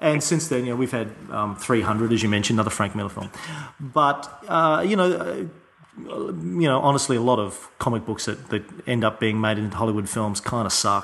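An Australian accent at a moderate pace, with ordinary pitch variation and noticeable background noise. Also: man, medium pitch for a man. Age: 30s. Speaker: podcast host. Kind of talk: interview conversation.

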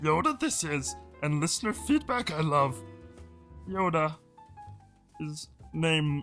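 Faint music plays behind a put-on character voice delivered at a middle pitch and fairly slow pace. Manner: impression.

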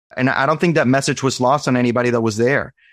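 Background sound is quiet. A man talks, his pitch moving in an ordinary way. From Venezuela, raised in Arizona. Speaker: cardiology fellow. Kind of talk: interview conversation.

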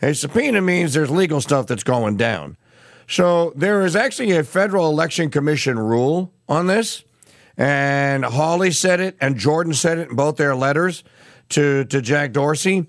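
Using a normal speaking voice, a man talks at a moderate pace with a fairly high pitch. His intonation is lively and his loudness very even. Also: quiet background. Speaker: radio news host. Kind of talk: news commentary.

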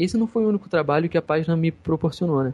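A man speaks at a fairly high pitch with ordinary pitch variation. The sound is dry and close with no echo, and music plays in the background. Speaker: gaming Facebook page admin. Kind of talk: casual chat. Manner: halting.

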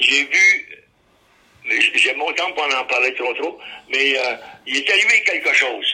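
A man speaks at a very slow pace. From Ottawa, Canada. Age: 90s. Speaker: war veteran. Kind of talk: oral history testimony. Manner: halting.

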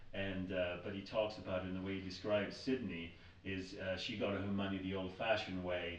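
With an American accent, a man speaks fairly quickly in a very deep, low pitch and flat, monotone intonation, amid audible room echo and noticeable background noise. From US steel town. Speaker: podcast host. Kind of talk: interview.

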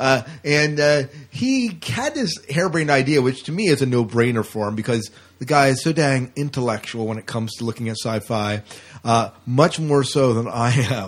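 At a moderate pace, a man with a normal speaking voice talks at medium pitch with ordinary pitch variation. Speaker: podcast co-host. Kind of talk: casual chat.

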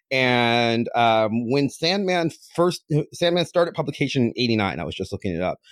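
A man with an American accent, medium in pitch with very wide pitch swings, at a moderate pace, on a very clean recording with a silent background. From US Midwest, near Cleveland, Ohio. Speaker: podcaster and comic fan. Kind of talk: casual chat.

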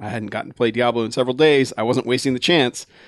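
Against a quiet background, a man's voice comes through with a dry, close sound and no echo. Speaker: podcast co-host. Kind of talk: casual chat. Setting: studio.

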